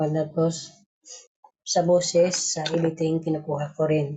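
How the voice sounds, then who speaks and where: A somewhat breathy woman's voice, fairly low in pitch, at a fairly slow pace with monotone, flat intonation. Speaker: group admin announcing raffle winners. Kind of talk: casual live stream announcement. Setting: live stream call.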